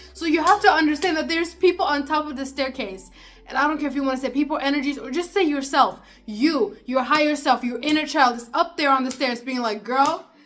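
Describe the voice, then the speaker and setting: With music in the background, a woman speaks at a fairly quick pace in a high pitch and an animated tone, her loudness swinging widely. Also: ordinary pitch variation. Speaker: self-help vlogger. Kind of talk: casual advice monologue. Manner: fast.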